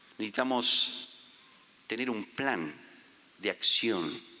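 The man talks at a very slow pace with ordinary pitch variation. His tone is bright and sharp. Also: long, frequent pauses. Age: 50s. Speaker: visiting preacher. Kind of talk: sermon.

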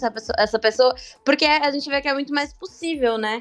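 This woman's delivery is very fast. The intonation remains fairly even throughout. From Santos, Brazil. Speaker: podcast guest, sales worker. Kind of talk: casual chat.

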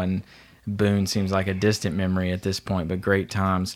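A man's very deep, low voice with a Southern US accent. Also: very clean recording, silent background. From North Carolina, Asheboro. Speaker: business leader. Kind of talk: casual chat.

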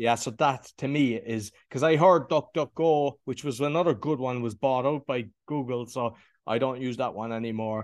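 With a Cork accent, the speaker moves at a moderate pace with hardly any pauses and ordinary pitch variation against a quiet background. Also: man, medium pitch for a man. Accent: Cork Irish. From Ireland, Cork. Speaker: podcast host and former builder. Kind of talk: interview conversation.

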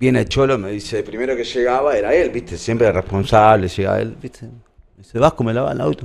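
At a fairly quick pace, a man talks at a medium pitch with vocal fry, lively intonation and big swings in loudness. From Argentina, La Plata. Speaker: kit manager for a sports club. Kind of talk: casual interview, anecdotes. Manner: halting, repetitive.

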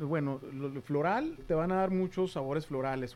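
Featuring ordinary pitch variation, this clip has a normal speaking voice. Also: man. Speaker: podcast co-host. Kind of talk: casual chat. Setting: home studio.

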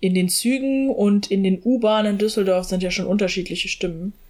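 Using an unremarkable speaking voice, a woman talks at a moderate pace and a medium pitch, with fairly even intonation. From Germany, small town. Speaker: podcast co-host. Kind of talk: casual chat.

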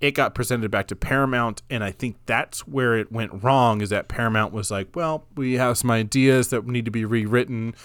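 A man with a normal speaking voice, medium pitch, fairly even intonation and moderate pace, on a very clean recording with a silent background. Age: 30s. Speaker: film podcast co-host. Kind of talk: casual chat.

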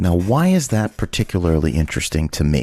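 A man speaks in an upbeat, energetic tone. The sound is dry and close with no echo, over a quiet background. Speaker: radio host. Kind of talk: radio dj patter. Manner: upbeat, chatty, energetic radio-host banter.

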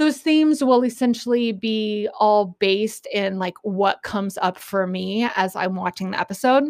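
With an unremarkable speaking voice, the speech keeps a medium tempo, barely stops for breath, and shows typical pitch movement. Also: woman, fairly high pitch for a woman. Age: 40s. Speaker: podcast host. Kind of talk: casual solo commentary. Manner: casual, filler-heavy with frequent laughs.

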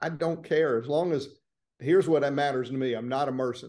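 In a Southern US accent, a man speaks at a fairly high pitch with ordinary pitch variation. His tone is dark and mellow. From Florida, small town north of Orlando. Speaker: personal injury trial lawyer. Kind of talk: interview conversation.

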